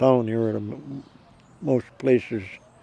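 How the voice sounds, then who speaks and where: With an American accent, a man speaks at a moderate pace and medium pitch, using ordinary pitch variation against noticeable background noise. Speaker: retired copper miner; war veteran. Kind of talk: interview answer.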